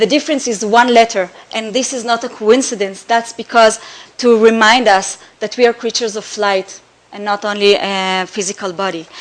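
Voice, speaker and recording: With an Israeli accent, a woman speaks at a moderate pace with fairly even intonation and big swings in loudness. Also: fairly high pitch for a woman. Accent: Hebrew. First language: Hebrew. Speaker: artist. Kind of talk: slideshow presentation. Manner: halting, many fillers.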